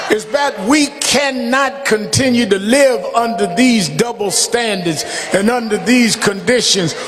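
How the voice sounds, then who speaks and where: Over music in the background, a man talks at a fairly slow pace in an extremely high pitch, with ordinary pitch variation and very even loudness. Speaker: minister delivering a funeral eulogy. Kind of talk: funeral eulogy, preaching delivery. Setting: speaking to a congregation at a funeral service.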